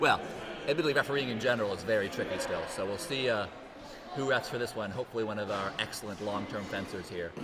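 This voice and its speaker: With a Canadian accent and a medium pitch, a man speaks very fast with lively intonation, amid audible room echo and noticeable background noise. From Canada. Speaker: fencing commentator. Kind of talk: live sports commentary. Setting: hall with live audience, livestream.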